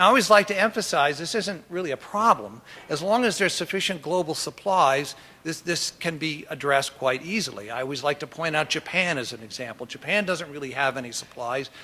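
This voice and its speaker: Lively intonation marks this man's fairly high voice. He talks at a fairly quick pace. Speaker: oil company executive, keynote speaker. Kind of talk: keynote presentation. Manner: fast.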